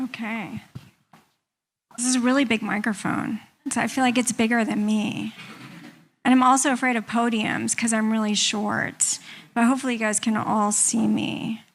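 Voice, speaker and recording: A woman with an American accent speaks at a moderate pace in a fairly high, somewhat breathy voice, with monotone, flat intonation. Long, frequent pauses break up her speech in a very clean recording with a silent background. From United States. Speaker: patient advocacy group president. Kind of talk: conference talk. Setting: stage with podium and audience.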